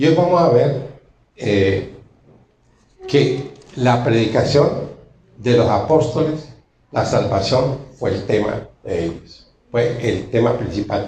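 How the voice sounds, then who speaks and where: With audible room echo, a man talks at a very slow pace, pausing long and often, his intonation lively. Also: medium pitch for a man. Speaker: preacher. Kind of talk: sermon.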